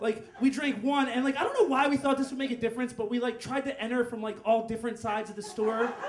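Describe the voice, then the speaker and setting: The speech comes at a very fast pace with hardly any pauses and fairly even intonation. There is audible room echo and light background noise. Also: man, extremely high pitch for a man. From Northeast Philadelphia, US; Philadelphia. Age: 20s. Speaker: storyteller. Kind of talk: stand-up storytelling. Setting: stage with audience. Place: bar. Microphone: handheld.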